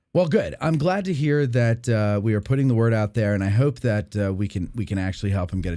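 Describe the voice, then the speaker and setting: The voice has a dark, mellow tone and lively intonation. It moves at a very fast pace with hardly any pauses. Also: man, medium pitch for a man. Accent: New Jersey. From New Jersey. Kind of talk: casual, conversational.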